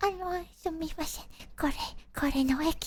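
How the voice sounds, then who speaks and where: Mumbling in an extremely high, put-on character voice, the speaker sounds timid and keeps a moderate pace. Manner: timid mumble.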